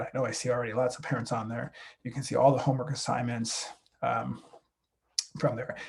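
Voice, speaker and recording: Very fast speech from a man, medium in pitch and somewhat breathy. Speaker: high school math teacher. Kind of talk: recorded talk to parents. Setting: recorded video.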